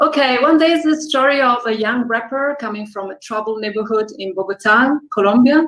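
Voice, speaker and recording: Speaking fairly quickly with hardly any pauses, a woman has an Italian accent and a high pitch. Her loudness swings widely while her pitch varies in an ordinary way. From Italy. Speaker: filmmaker. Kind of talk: interview.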